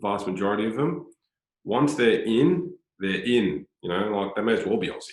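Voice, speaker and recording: Speaking at a moderate pace with a medium pitch, a man in a strong Australian accent shows big swings in loudness. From Australia, Sydney North Shore. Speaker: former footballer, football director. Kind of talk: interview conversation. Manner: repetitive, hesitant with filler words.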